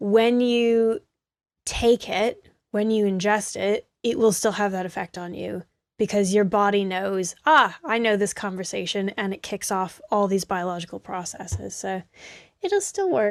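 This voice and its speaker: In an ordinary speaking voice, a woman with an American accent talks at a fairly slow pace and medium pitch with ordinary pitch variation, recorded very cleanly with a silent background and a dry, close sound with no echo. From United States. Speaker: herbalist. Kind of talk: interview. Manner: casual, with fillers.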